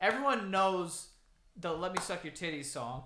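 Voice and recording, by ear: At a moderate pace, a man speaks with high pitch, lively intonation and a bright, sharp tone.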